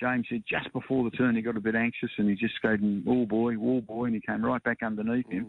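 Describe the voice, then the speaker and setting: Speaking at a fairly quick clip, a man with an Australian accent keeps his medium-pitched voice flat and monotone. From Springvale, Victoria, Australia. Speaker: racehorse part-owner. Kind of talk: interview.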